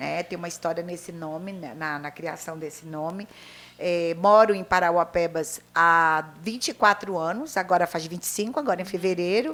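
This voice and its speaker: A woman with a fairly low pitch and an unremarkable speaking voice. She talks at a moderate pace with ordinary pitch variation and big swings in loudness. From northern Brazil, Pará (Vigia). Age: 60s. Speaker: retired teacher and writer. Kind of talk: interview.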